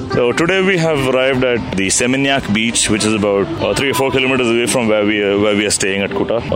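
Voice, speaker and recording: A man with a medium pitch talks at a very fast pace, with hardly any pauses, very even loudness and lively intonation. Music plays in the background, and there is audible room echo. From India, Coimbatore. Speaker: motorcycle traveler. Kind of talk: travel diary.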